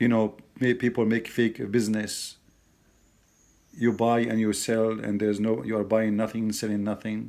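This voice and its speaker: In an Arabic accent, a man talks at a moderate pace and medium pitch with monotone, flat intonation. The recording is very clean, with a silent background. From Middle East. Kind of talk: casual commentary to camera.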